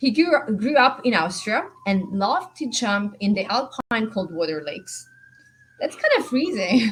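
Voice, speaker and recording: Over noticeable background noise, a woman with an Italian accent speaks at a fairly high pitch and a fairly slow pace, her enthusiastic tone carried by very wide pitch swings. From Italy. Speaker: panel moderator. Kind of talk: panel moderation.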